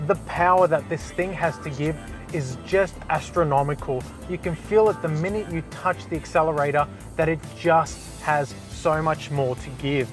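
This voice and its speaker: Over clear music in the background, a man talks at a moderate pace with ordinary pitch variation in a dry sound with no echo. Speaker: presenter. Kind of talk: test drive review commentary. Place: car. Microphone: lapel.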